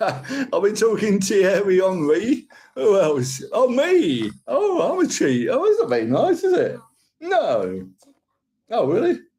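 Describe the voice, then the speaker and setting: With a Cockney accent, a man speaks at a very slow pace and keeps his loudness very even. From London, England. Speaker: live streamer. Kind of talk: casual chat. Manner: rambling.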